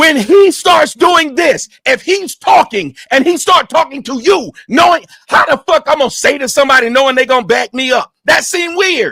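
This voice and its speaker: A man shouting at an extremely high pitch, with a bright, sharp tone, lively intonation and an animated tone, at a moderate pace, in a dry, close sound with no echo. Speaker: livestream panel host. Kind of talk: heated debate. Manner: loud, yelling.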